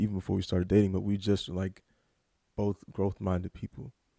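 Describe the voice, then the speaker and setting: A man with an American accent, dark, mellow tone, and a dry, close sound with no echo. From Louisiana, Baton Rouge. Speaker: podcast host's fiancé. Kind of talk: casual chat. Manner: calm, soft-spoken.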